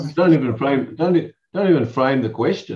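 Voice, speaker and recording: In an Australian accent, a man speaks with lively intonation. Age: 60s. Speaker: lawyer and professional speaker. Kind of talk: casual chat.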